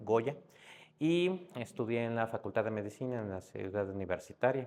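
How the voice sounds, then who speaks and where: Lively intonation marks this speech in a Mexico City accent. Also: man. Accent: Mexico City (Narvarte) accent, noticeable. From Mexico City, Narvarte. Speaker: psychiatrist. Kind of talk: podcast interview.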